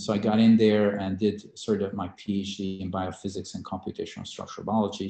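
A man with a Hungarian accent speaks at a fairly quick pace with hardly any pauses. His tone is dark and mellow, his intonation monotone and flat, and his loudness swings widely. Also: fairly low pitch for a man. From Hungary. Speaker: biotech CEO and scientist. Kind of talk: interview. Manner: halting, many fillers and repetitions.

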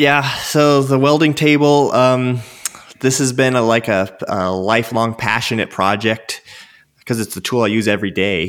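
A man speaks with an American accent in a normal speaking voice. His pitch is medium with ordinary variation, at a moderate pace. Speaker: tool designer and maker. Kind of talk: casual chat.

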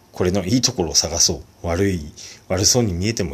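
This man's very deep, low voice is somewhat breathy, moving at a fairly quick pace with ordinary pitch variation. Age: 40s. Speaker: solo podcaster. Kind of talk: casual monologue. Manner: hesitant, many fillers.

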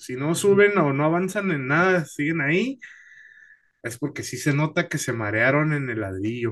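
Bright and sharp in tone, a man's fairly high voice takes very wide pitch swings at a fairly slow pace. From Mexicali, northern Mexico. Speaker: stand-up comedian. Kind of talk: casual interview chat.

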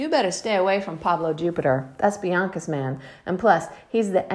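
A text is read aloud here in a natural voice.

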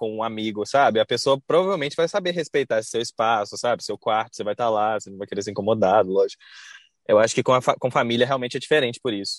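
Very fast and with lively intonation, the voice comes through on a very clean recording with a silent background. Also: man. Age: 20s. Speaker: architect. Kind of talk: casual chat.

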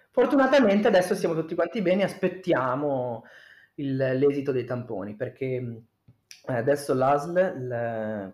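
A man at a moderate pace with lively intonation. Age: 30s. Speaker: podcast guest, host's cousin. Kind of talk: casual chat.

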